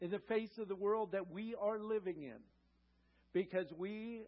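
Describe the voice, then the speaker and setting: A man at a fairly slow pace with ordinary pitch variation. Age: 60s. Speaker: guest pastor. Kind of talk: sermon. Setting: church with congregation.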